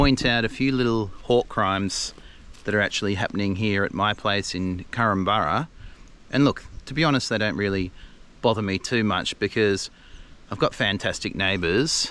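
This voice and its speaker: Bright and sharp in tone, a man talks with an Australian accent at a fairly low pitch. His pace is moderate, with ordinary pitch variation. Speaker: gardening video host. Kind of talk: casual vlog tutorial. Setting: outdoors in own garden. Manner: casual, hesitant with fillers.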